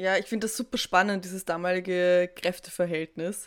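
A woman's medium-pitched, unremarkable speaking voice at a fairly quick pace. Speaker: podcast host. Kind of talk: interview. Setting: video call.

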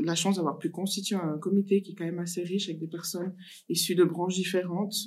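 Against a silent background in a very clean recording, a woman speaks in a fairly low, monotone voice with flat intonation. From Africa. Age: 30s. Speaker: social worker, association founder. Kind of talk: casual interview.

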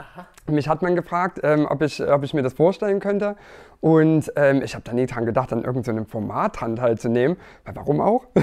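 With an unremarkable speaking voice, a fairly high-pitched man talks at a fairly quick pace, his intonation lively and his loudness swinging widely. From Erzgebirge, Saxony. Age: 30s. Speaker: dating show contestant. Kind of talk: casual interview.

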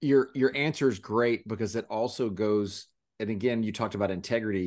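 A man speaks at a fairly quick pace in a plain, everyday voice against a quiet background. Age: 50s. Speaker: podcast host. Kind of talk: casual chat.

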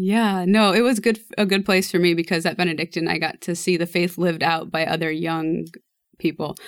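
Talking at a fairly quick pace with fairly even intonation, a woman with an American accent has a fairly low pitch and an unremarkable speaking voice. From US Midwest, rural Nebraska. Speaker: guest, mother of six. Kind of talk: casual chat.

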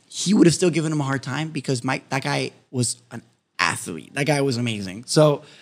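With an American accent, a man talks at a fairly quick pace in a fairly high pitch, his animated tone carrying lively intonation and vocal fry. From Miami, Florida (West Kendall). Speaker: podcast co-host. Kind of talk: casual chat. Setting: studio.

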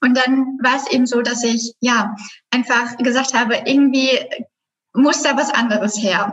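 Her voice is high-pitched for a woman, with fairly even intonation. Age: 20s. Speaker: graphic designer and business coach. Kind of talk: casual chat.

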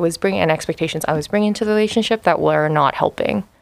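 A normal speaking voice with lively intonation. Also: woman. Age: 20s. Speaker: middle school teacher. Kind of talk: casual chat.

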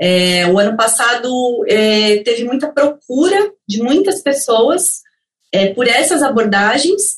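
A woman's high voice at a very slow pace, with very wide pitch swings and very even loudness. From Brazil. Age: 30s. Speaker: career coach and consultant. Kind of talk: interview. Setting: remote call.

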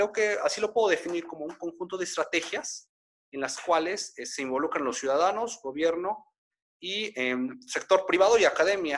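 Loudness swings widely as a man speaks at a moderate pace. His pitch is high, with ordinary variation. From Mexico (Puebla). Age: 20s. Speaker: public administration researcher. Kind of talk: online interview / panel talk.

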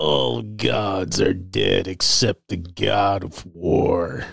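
A put-on character voice, raspy in sound, goes at a very slow pace. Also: man, very deep, low pitch for a man. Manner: menacing.

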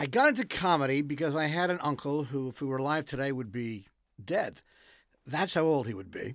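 A man with an ordinary speaking voice and a Canadian accent, fairly high in pitch with ordinary variation, at a fairly quick pace. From Quebec. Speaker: comedy TV writer. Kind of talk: interview. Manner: dry joking humor.

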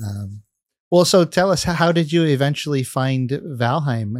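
A man's fairly high voice, an ordinary speaking voice, at a fairly slow pace, with a dry, close sound and no echo. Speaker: podcast host and video game content creator. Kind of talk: casual chat.

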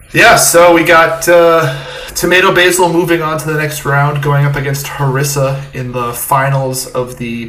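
A man's fairly high pitch at a moderate pace, ordinary pitch variation, audible room echo and noticeable background noise. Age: 20s. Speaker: podcast co-host. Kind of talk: casual chat.

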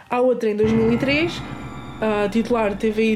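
A woman speaks at a fairly high pitch. Background noise is noticeable, and room echo can be heard. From Portugal, Alentejo. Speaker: podcast host. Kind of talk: casual chat. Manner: animated.

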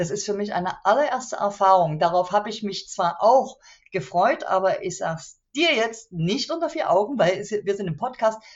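An ordinary speaking voice: a woman at medium pitch and moderate pace, with lively intonation. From East Germany, Chemnitz (Saxony). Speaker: author and local politician. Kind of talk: interview. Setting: video call.

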